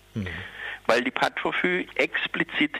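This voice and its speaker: Recorded dry and close with no echo, a man speaks over noticeable background noise. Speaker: activist for psychiatric survivors. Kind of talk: protest speech, campaigning against forced psychiatry. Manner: urgent, combative, insistent; hesitant, with many fillers.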